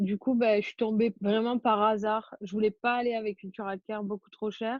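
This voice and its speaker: This woman's fairly high voice stays monotone and flat. Her pace is moderate. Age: 20s. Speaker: au pair. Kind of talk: interview. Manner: hesitant, many fillers.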